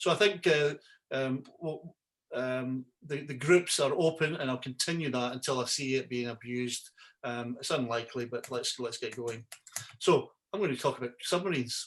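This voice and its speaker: A man speaks at a medium pitch in a Scottish accent. Light background noise is present. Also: ordinary pitch variation, moderate pace. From Scotland. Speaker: yacht broker and website host; website host. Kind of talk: webinar tutorial. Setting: video call. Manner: halting, many fillers and repeats. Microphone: video call.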